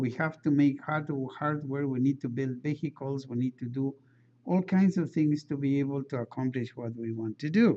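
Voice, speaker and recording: A man with a non-native accent, a fairly high pitch and a dark, mellow tone, ordinary pitch variation and a moderate pace. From outside the United States. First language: not English. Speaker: engineering lecturer. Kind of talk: lecture. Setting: classroom. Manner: halting, with frequent fillers and restarts.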